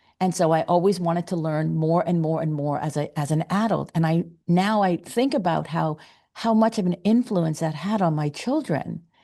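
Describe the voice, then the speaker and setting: Her intonation is lively, in a dark, mellow tone. The woman's pitch sits fairly low against a quiet background. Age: 60s. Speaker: parenting podcast host. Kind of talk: podcast interview. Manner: halting.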